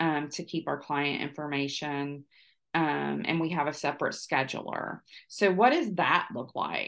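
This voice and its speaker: Over a quiet background, a woman speaks at a fairly slow pace with vocal fry. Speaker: business owner hosting a webinar. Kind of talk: webinar presentation. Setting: online webinar.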